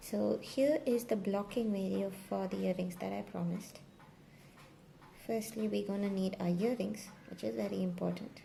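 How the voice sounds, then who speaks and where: A soft-spoken woman at a moderate pace, with light background noise. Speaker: crochet maker and tutorial creator; tutorial creator. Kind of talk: tutorial. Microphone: phone near.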